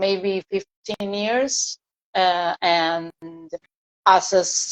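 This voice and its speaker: A woman at a very slow pace with fairly even intonation, in a dry, close sound with no echo. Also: medium pitch for a woman. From Argentina, Buenos Aires. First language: Spanish. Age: 30s. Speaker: singer. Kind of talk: interview. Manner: halting.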